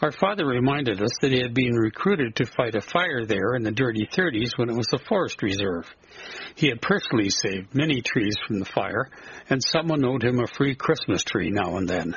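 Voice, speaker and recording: Lively intonation from a man with a Canadian prairie accent, medium pitch and fairly quick pace, over noticeable background noise. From southern Alberta prairies, Canada. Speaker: writer. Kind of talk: reading aloud a nostalgic memoir essay.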